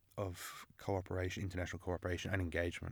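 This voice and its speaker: A man with a very deep, low pitch talks at a very fast pace in an Australian accent. The recording is very clean, with a silent background. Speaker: international relations student. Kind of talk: interview.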